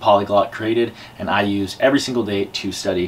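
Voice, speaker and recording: Over light background noise, a man talks at a fairly low pitch. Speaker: YouTuber learning Spanish. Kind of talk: vlog to camera; language lesson conversation. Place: home room. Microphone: camera far.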